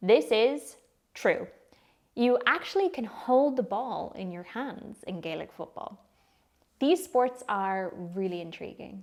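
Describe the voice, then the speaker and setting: Speaking very slowly in an Irish accent, a woman with a fairly high pitch makes very wide pitch swings and big swings in loudness. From Ireland. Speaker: English teacher. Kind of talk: educational talk to camera.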